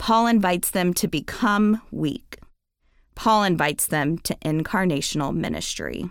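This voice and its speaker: Over a silent background in a very clean recording, this is a plain, everyday voice. It moves at a moderate pace with lively intonation. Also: woman. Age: 40s. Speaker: pastor. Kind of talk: sermon.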